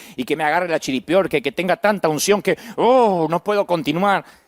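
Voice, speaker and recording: Someone speaks at a moderate pace with an Argentine accent. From Argentina, Buenos Aires province. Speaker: pastor. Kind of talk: sermon.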